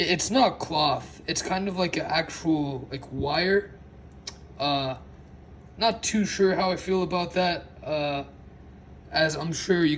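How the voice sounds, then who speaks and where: With noticeable background noise behind him, a man speaks very slowly at a high pitch, with ordinary pitch variation. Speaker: toy reviewer. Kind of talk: casual unboxing talk to camera. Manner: stutters and slurs words.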